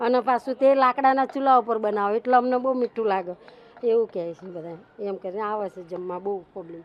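With an unremarkable speaking voice, a woman talks at a fairly high pitch, her loudness swinging a lot while her pitch varies in an ordinary way. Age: 50s. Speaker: street food cook. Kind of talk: interview.

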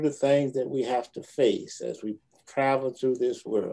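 A man is talking here. His pace is fairly slow. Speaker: pastor. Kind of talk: prayer. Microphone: video call.

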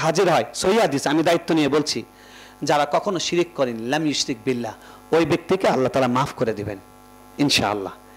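A man's voice with very wide pitch swings. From Bangladesh. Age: 30s. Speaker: newspaper editor and Islamic scholar; newspaper editor. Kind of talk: memorial speech. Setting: stage with audience. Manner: impassioned. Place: hall. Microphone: podium.

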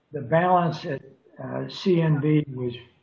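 Against light background noise and audible room echo, a man speaks with ordinary pitch variation. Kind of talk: meeting report. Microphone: video call.

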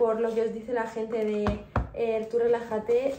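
A woman speaks with monotone, flat intonation at a fairly slow pace, with light background noise and audible room echo. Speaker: vlogger. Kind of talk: casual vlog chat. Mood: warm, encouraging. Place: kitchen. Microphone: phone near.

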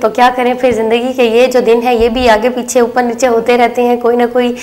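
A woman speaks in a high voice at a moderate pace. She leaves hardly any pauses. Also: very even loudness. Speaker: TV show host. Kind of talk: TV presenter talk to viewers. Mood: warm, friendly. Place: studio. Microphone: lapel.

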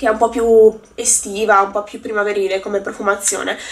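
A woman talks at a moderate pace. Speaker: beauty vlogger. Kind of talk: casual vlog chat. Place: home room. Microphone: phone near.

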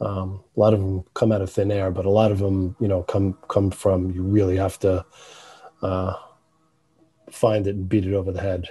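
A man's fairly low, somewhat breathy voice with a New York accent, dark and mellow in tone, monotone and flat, at a moderate pace with long, frequent pauses. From New York City, The Bronx. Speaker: animator, filmmaker. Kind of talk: interview answer.

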